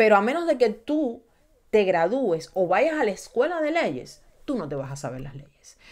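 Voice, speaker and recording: Over a quiet background, a woman with a fairly high pitch and vocal fry speaks slowly-ish in an animated tone, her pitch swinging very widely and her loudness rising and falling sharply. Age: 30s. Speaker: YouTube true crime streamer. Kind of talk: livestream commentary. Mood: indignant, emphatic. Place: home room. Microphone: studio mic.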